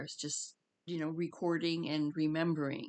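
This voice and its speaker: Against a quiet background, a woman speaks at a fairly slow pace in a very deep, low pitch. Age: 60s. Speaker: spiritual vlogger. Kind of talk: casual monologue. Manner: halting.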